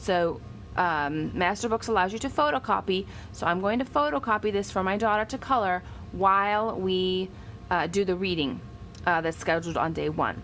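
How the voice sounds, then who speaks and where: This is a woman with a medium-pitched voice. Her pitch varies in an ordinary way. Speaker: homeschooling parent and video blogger. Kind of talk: tutorial. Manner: fast.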